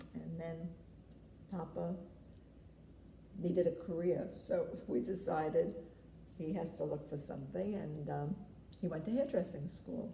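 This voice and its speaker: Fairly slow speech with a New York accent, long and frequent pauses, and audible room echo. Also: woman. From New York City, the Bronx. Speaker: grandmother interviewed about family history. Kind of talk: family interview.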